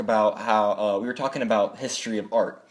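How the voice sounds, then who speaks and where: A man is speaking. His pace is moderate. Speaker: YouTuber. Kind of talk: casual vlog monologue. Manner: animated.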